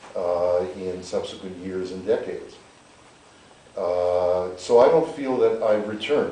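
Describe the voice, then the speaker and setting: A man speaks at a fairly slow pace with a Canadian accent, with audible room echo and noticeable background noise. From Canada, North Winnipeg. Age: 60s. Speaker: political scientist. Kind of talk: public interview.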